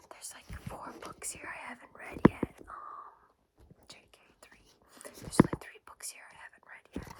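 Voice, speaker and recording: Whispering at a moderate pace, a woman can be heard against noticeable background noise. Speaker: ASMR creator. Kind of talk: ASMR book show and tell. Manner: soft-spoken.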